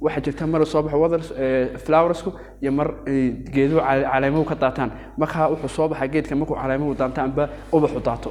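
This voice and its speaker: A man speaks very fast in a fairly high voice. Noticeable background noise sits behind him. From Yemen. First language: Arabic. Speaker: teacher. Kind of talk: lecture. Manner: halting.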